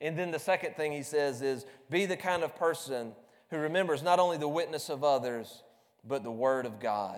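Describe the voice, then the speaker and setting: With a Southern US accent, a man speaks at a moderate pace in a fairly high voice. His pitch varies in an ordinary way, and audible room echo surrounds him. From US South, South Carolina. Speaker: preacher. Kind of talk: sermon. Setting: church. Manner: repeats words, stammers.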